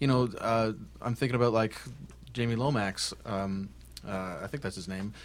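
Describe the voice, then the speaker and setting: A man speaks in a Canadian accent at a fairly low pitch. His pace is moderate, broken by long, frequent pauses. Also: ordinary pitch variation. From Ontario, Canada. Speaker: musician, half of a folk duo. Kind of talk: casual interview with live songs. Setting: radio studio.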